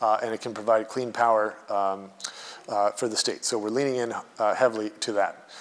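A man speaks in a medium pitch. His intonation is monotone and flat. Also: fairly quick pace. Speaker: state energy official. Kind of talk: conference keynote speech. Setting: stage with audience. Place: hall. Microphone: podium.

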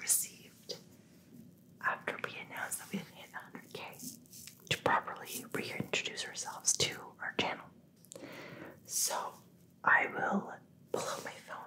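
A whispered voice moves at a fairly slow pace. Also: woman. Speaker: ASMR creator. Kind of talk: ASMR Q&A while massaging. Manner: soft-spoken. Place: home room.

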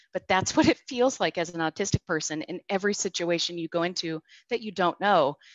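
A plain, everyday voice at a fairly quick pace, with ordinary pitch variation and a quiet background. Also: woman, fairly low pitch for a woman, dry sound with no echo. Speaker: product director; host, panel moderator. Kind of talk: panel discussion. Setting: video call. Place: home room. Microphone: video call.

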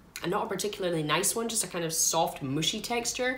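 In a Scottish accent, a woman speaks at a fairly quick pace with lively intonation. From Scotland. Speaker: food reviewer. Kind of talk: casual talk to camera. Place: home room. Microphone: phone near.

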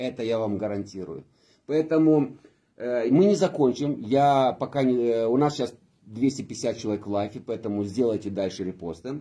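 The voice has a dark, mellow tone and lively intonation. It moves at a moderate pace against a quiet background. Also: man. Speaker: party politician and live stream host; party politician, live stream host. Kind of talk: casual live stream chat, bilingual Romanian and Russian. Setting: office, live video stream. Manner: animated, energetic. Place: meeting room. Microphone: phone near.

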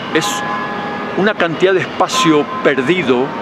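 Noticeable noise fills the background while a man talks. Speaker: street reporter or activist. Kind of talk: on-location appeal to camera, denunciation. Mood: indignant, insistent. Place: street. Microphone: handheld.

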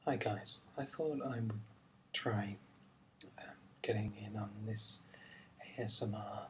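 A soft-spoken, somewhat breathy man at a fairly low pitch, very slow pace, fairly even intonation and long, frequent pauses. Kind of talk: ASMR film review talk. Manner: relaxed, simple.

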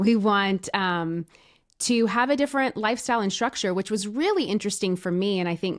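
Against a quiet background, a speaker with an American accent talks at a fairly quick pace with ordinary pitch variation. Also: woman. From Tennessee, US South. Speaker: podcast guest, branding coach. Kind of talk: interview. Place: studio. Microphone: studio mic.

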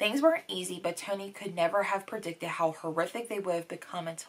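At a fairly quick pace and with ordinary pitch variation, this is a normal speaking voice. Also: woman. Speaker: book vlogger. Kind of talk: casual vlog chat. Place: home room.

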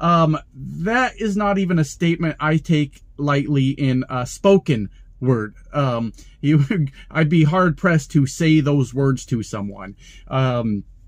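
A very slow pace from a man, with quiet in the background. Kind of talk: casual vlog chat. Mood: annoyed, ranting. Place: car. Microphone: phone near.

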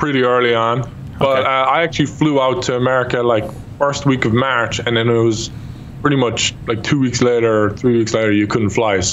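Over light background noise, a man with an Irish accent talks at a fairly quick pace, his intonation fairly even and his loudness very even. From Ireland. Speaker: YouTube gamer. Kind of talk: casual chat. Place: home room. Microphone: studio mic.

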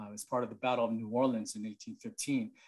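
Here a man speaks with an American accent in an unremarkable speaking voice. His pitch is medium with ordinary variation, and the background is quiet. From Boston. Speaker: military veteran. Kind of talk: presentation. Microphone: webcam.

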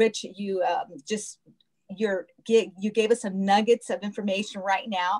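There is music in the background. A woman talks at a moderate pace. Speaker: show host. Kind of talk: interview wrap-up. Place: home room. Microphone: video call.

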